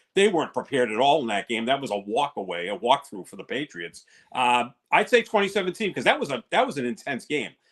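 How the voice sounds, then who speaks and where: Very wide pitch swings and vocal fry mark this very fast delivery. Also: man, fairly high pitch for a man, big swings in loudness. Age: 60s. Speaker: sports podcast co-host. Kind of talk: casual sports talk.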